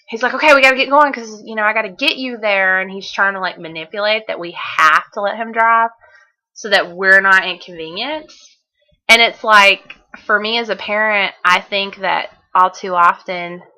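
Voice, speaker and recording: In a Southern US accent, a woman with a bright, sharp tone speaks at a medium pitch and a moderate pace, with ordinary pitch variation and big swings in loudness. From Southern United States. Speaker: author and blogger. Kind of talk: casual video diary to camera.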